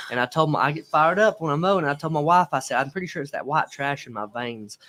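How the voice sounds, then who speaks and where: This man talks at a very fast pace in a fairly high pitch. His tone is bright and sharp. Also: ordinary pitch variation. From Alabama. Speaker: live-stream show host. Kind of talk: casual live-stream chat. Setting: live stream.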